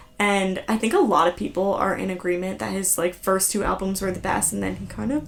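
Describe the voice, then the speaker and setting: With an American accent, a woman talks at a moderate pace. Noticeable background noise can be heard. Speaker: podcast host. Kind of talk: casual chat. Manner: animated.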